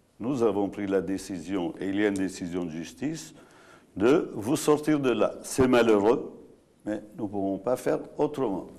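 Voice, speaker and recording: Lively intonation runs through a dark, mellow tone delivered at a fairly slow pace. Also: man, fairly low pitch for a man. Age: 70s. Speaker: landowner and entrepreneur. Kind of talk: live TV debate. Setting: studio.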